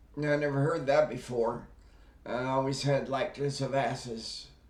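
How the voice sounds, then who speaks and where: In audible room echo, a man with a fairly high pitch speaks at a fairly slow pace. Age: 60s. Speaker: wellness YouTuber, stroke survivor. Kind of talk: casual vlog monologue. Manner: hesitant, many fillers.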